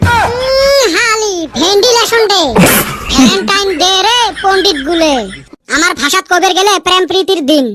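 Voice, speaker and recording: An extremely high-pitched cartoonish character voice carries the lines. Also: moderate pace. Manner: sarcastic, teasing.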